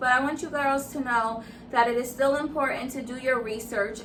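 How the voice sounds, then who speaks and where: A woman with a high pitch speaks at a moderate pace in a raised, projected voice and fairly even intonation. Audible room echo surrounds her. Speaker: beauty and lifestyle vlogger. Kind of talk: Q&A vlog.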